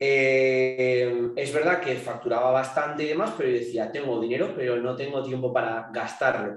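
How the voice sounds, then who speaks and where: Using an unremarkable speaking voice, a man talks at a moderate pace and medium pitch with ordinary pitch variation and hardly any pauses. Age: young. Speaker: fitness coach and entrepreneur. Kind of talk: casual chat.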